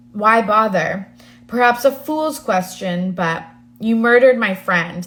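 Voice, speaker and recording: Putting on a growling character voice, a woman speaks at a fairly slow pace with a fairly high pitch. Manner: snarling.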